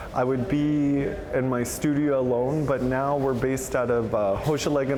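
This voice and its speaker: A man talks at a medium pitch, with noticeable background noise behind him. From Canada, Anishinaabe First Nation. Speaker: multidisciplinary artist, beadwork. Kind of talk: interview answer. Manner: casual, many fillers.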